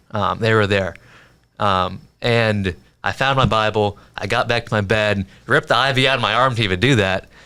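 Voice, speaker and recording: In a very clean recording with a silent background, a man talks in an ordinary speaking voice, fairly low in pitch, with ordinary pitch variation and at a moderate pace. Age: 20s. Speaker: young podcaster. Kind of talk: testimony.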